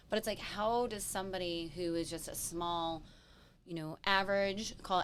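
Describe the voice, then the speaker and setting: Speaking in an animated tone, a woman with an American accent keeps a moderate pace. Her medium pitch has ordinary variation. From US. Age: 30s. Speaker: real estate show co-host. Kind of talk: casual chat.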